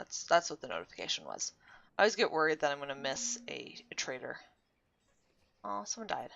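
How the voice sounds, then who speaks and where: A woman's pitch swings very widely as she speaks at a moderate pace. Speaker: gaming video creator. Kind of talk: let's play commentary. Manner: casual, hesitant; soft-spoken.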